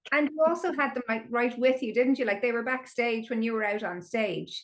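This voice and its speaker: A woman's high-pitched voice in an Irish accent, with ordinary pitch variation and a fairly quick pace. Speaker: podcast host. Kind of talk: podcast interview.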